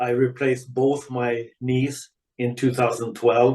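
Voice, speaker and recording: The delivery is at a very slow pace. Its intonation is monotone and flat. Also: man. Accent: Swedish. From Sweden. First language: Swedish. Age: 70s. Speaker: retired ice hockey player. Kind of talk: podcast interview.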